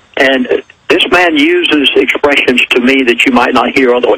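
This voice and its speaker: Noticeable background noise sits under a man's voice. He speaks at a fairly high pitch with lively intonation. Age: 70s. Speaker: minister. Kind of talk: interview.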